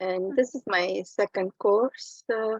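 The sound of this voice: Slow speech from a woman at a medium pitch, with a slightly husky edge and a dry, close sound with no echo.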